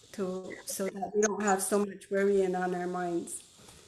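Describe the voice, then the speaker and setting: Speaking at a fairly slow pace with monotone, flat intonation, a woman of medium pitch is heard with audible room echo. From Akwesasne, Mohawk Nation. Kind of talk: land acknowledgement.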